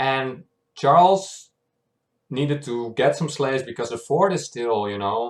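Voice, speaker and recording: Medium pitch from a man, ordinary pitch variation, a fairly slow pace, and a very clean recording with a silent background. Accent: non-native. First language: not English. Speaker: YouTube reactor. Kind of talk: casual recap monologue. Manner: hesitant, many fillers.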